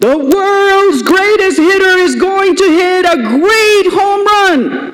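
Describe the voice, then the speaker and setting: An extremely high-pitched, put-on character voice comes through loud. It moves at a very slow pace. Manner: booming, boastful.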